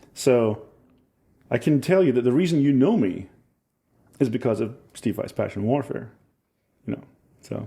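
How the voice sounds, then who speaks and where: With an American accent, a somewhat breathy man speaks at a moderate pace with lively intonation and long, frequent pauses. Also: medium pitch for a man. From Scotland. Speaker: musician. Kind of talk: casual chat. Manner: animated.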